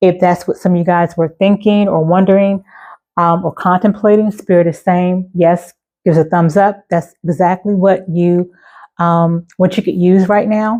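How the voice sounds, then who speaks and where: A woman speaks at a moderate pace and medium pitch in a dark, mellow tone, her intonation monotone and flat, her loudness very even, over a quiet background. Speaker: tarot reader. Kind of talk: tarot reading. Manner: casual, many fillers.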